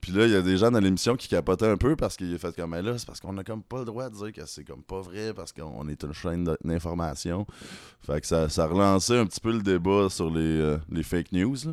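A man's very deep, low voice at a very fast pace, with ordinary pitch variation and big swings in loudness, on a very clean recording with a silent background. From Rouyn-Noranda, Quebec. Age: 30s. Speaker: singer-songwriter. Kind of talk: casual chat. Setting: apartment.

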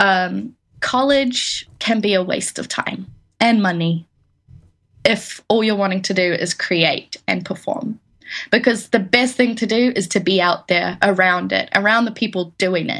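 A woman speaks with a New Zealand accent at a fairly slow pace. Her pitch is medium, with ordinary variation. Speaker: musician, songwriter. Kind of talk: interview.

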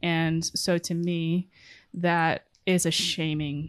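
A woman with an American accent and a fairly low pitch speaks against a quiet background. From Connecticut, US. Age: 20s. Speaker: medical resident. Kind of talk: interview. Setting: in person.

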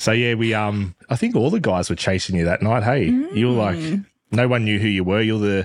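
A man with an Australian accent, ordinary pitch variation, very even loudness and a moderate pace. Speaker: podcast guest, host's partner.

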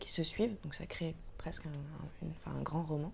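A woman speaks at a moderate pace in a fairly low, somewhat breathy voice with a dark, mellow tone. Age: 20s. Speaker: tattoo artist. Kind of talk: casual interview. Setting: at home.

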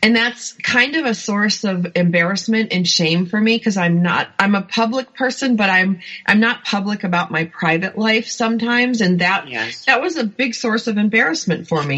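At a moderate pace, a woman speaks with medium pitch and ordinary pitch variation, hardly pausing. Noticeable background noise runs underneath. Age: 50s. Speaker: author and life coach. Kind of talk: interview. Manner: animated.

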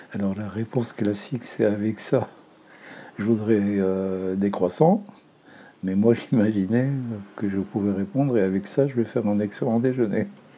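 A man speaks at a fairly slow pace with a fairly low pitch, a dark, mellow tone, fairly even intonation, and long, frequent pauses. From Lebanon, Beirut. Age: 70s. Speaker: retired documentary filmmaker and film teacher. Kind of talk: testimony.

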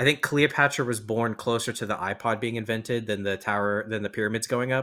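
On a very clean recording with a silent background, a man speaks fairly quickly at a medium pitch with a bright, sharp tone. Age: 20s. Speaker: podcast host. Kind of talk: casual chat.

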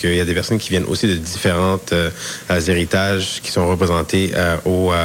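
Noticeable background noise sits behind a man with a very deep, low voice who talks at a fairly quick pace. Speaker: university student. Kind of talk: interview.

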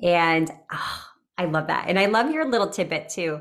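A woman's animated tone with very wide pitch swings. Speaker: podcast host. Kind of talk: casual interview.

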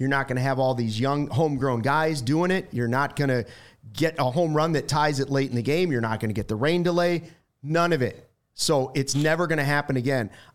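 A normal speaking voice from a man, fairly high in pitch, with ordinary pitch variation, very even loudness and a fairly quick pace, on a very clean recording with a silent background. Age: 40s. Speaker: sports broadcaster. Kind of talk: casual chat.

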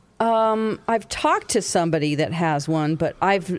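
Recorded very cleanly against a silent background, a woman with an American accent speaks with lively intonation. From US South. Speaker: radio host. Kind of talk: casual chat.

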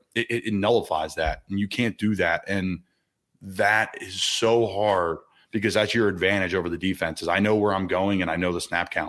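The voice has an American accent and fairly even intonation. The recording is very clean, with a silent background. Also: man. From Philadelphia area. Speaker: NFL player. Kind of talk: casual interview.

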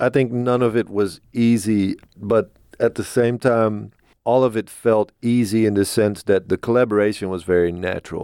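A plain, everyday voice from a man, fairly low in pitch with fairly even intonation, at a moderate pace on a very clean recording with a silent background. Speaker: band member. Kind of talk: casual interview chat.

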